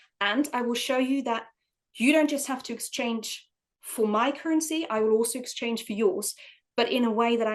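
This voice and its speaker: A woman with a non-native accent speaks at a moderate pace. Her pitch is fairly high, with ordinary variation. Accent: foreign accent, V and W sound similar. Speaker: early years trainer. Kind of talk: podcast interview.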